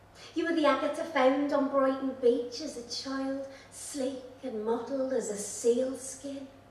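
A woman's fairly even intonation against audible room echo. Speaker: poet. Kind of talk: poetry reading with chatty, humorous intros. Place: stage.

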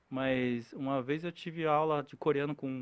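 Flat and monotone, a man talks at a fairly high pitch. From Brazil, Korean-Brazilian family. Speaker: actor, impressionist and comedian; podcast guest, comedian, voice actor. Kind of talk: casual chat. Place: studio. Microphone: studio mic.

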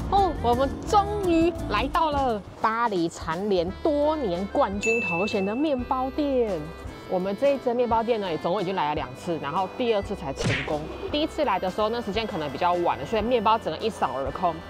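A woman speaks at a moderate pace in a dry sound with no echo while clear music plays in the background. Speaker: travel food vlogger. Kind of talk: casual vlog chat. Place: street. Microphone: phone near.

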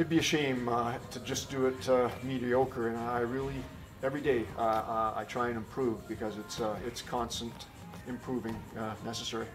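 Over clear music in the background, a man speaks with fairly even intonation. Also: moderate pace. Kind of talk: interview answer. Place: office. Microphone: camera far.

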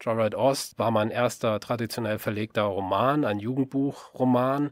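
Recorded very cleanly against a silent background with a dry, close sound and no echo, a man with an unremarkable speaking voice talks at a moderate pace with a medium pitch and fairly even intonation. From western Germany, Rhineland (Solingen, Leverkusen). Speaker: novelist and podcaster. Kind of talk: podcast introduction monologue. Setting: home-built voice booth.

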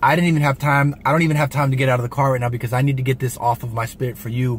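The man's voice is somewhat breathy, with fairly even intonation. The sound is dry with no echo, over light background noise. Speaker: vlogger. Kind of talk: casual vlog chat, motivational. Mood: earnest, heartfelt. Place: car. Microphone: phone near.

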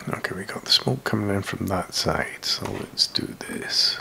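The voice is whispering at a fairly slow pace. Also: man. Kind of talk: tutorial.

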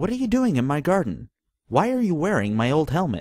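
In a put-on character voice, a man talks at a fairly quick clip, his fairly high pitch swinging very widely. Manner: gentle, trustworthy.

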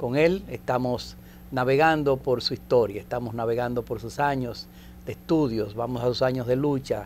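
Over light background noise, a normal speaking voice moves at a moderate pace with ordinary pitch variation. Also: man. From Dominican Republic. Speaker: TV host. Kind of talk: TV interview. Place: studio. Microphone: lapel.

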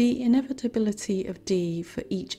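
Music plays in the background as a woman speaks at a fairly slow pace. Her intonation is lively. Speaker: psychologist. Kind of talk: educational lecture narration.

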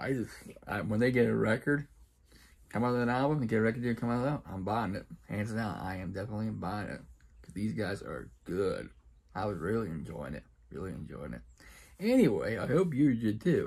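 Fairly quick and lively in intonation, a man speaks at a fairly low pitch with vocal fry. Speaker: reaction video creator. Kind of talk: casual vlog chat. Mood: happy, enthusiastic. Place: home room. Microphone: phone near.

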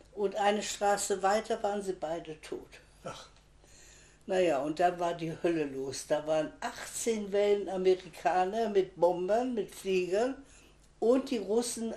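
This woman's voice has a dark, mellow tone at medium pitch, with ordinary pitch variation and a fairly slow pace. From Pomerania (now Poland). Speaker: contemporary witness, retired teacher; witness, retired teacher. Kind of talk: oral history interview. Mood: reflective storytelling. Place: home room. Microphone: camera far.

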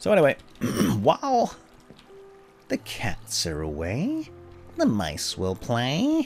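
With clear music in the background, a man in a put-on character voice at a medium pitch speaks at a fairly slow pace with long, frequent pauses. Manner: cackling, menacing.

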